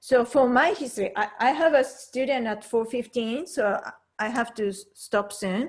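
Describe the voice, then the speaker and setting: With a Japanese accent, a woman talks at a fairly slow pace in a high pitch, her intonation lively. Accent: Japanese accent, noticeable. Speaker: piano teacher. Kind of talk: online piano lesson, personal story.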